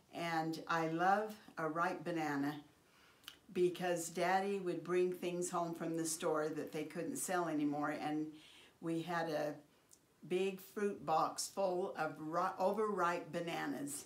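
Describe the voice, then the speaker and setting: In audible room echo, a woman with an American accent speaks very slowly in a fairly low pitch, her intonation fairly even. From Idaho, US (Oakley). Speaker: family elder sharing life stories. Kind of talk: oral history interview.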